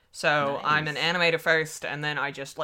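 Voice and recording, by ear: With an Australian accent, a woman speaks at a moderate pace in a very deep, low pitch. Her tone is bright and sharp.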